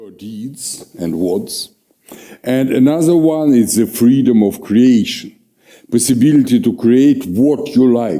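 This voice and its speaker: Very slow male speech in a Russian accent, dark and mellow in tone with lively intonation. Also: medium pitch for a man. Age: old. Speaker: historian, professor. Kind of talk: lecture. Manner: halting, many fillers.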